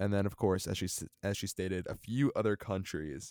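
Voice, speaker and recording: A normal speaking voice moves at a moderate pace with ordinary pitch variation. The recording is very clean with a silent background, and the sound is dry and close, with no echo. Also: man. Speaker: podcast host, roller coaster enthusiast. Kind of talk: casual chat podcast about theme parks.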